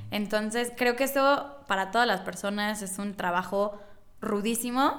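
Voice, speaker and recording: Speaking with a central Mexican accent, a woman talks at a fairly slow pace and medium pitch with ordinary pitch variation. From Mexico, Puebla. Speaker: author. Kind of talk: casual chat.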